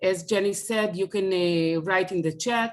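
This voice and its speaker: With an Israeli accent, a woman speaks at a moderate pace, her medium pitch varying in an ordinary way. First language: Hebrew. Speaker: speaker on family Holocaust history. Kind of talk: online presentation. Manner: halting.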